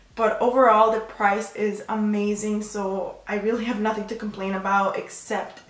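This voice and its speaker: A woman speaks at a moderate pace in a fairly high pitch while noticeable background noise carries on behind her. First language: Spanish. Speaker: beauty youtuber. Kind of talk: makeup tutorial chat. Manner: casual, with fillers and self-corrections.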